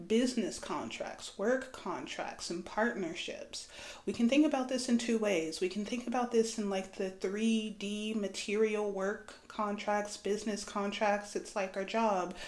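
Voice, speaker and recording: A woman with a fairly high pitch talks with hardly any pauses and ordinary pitch variation. Audible room echo is present. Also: fairly slow pace. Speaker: astrology and tarot reader. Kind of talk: spiritual reading monologue. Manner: casual, conversational.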